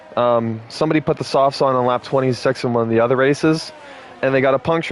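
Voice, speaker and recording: Against noticeable background noise, a man talks at a very fast pace in a medium pitch. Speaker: sim racing commentator. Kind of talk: live commentary. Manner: casual, profane.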